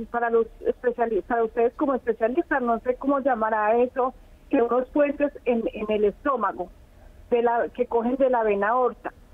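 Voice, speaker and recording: Ordinary pitch variation and moderate speed in a woman's speech. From Colombia, Risaralda. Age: 70s. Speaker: caller. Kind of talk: phone-in question. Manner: halting.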